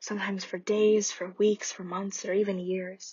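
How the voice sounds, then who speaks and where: A soft-spoken woman talks in a gentle, somewhat breathy tone. Her intonation is monotone and flat at a very slow pace. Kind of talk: ASMR comforting roleplay, talking to a friend. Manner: soft-spoken, gentle, caring.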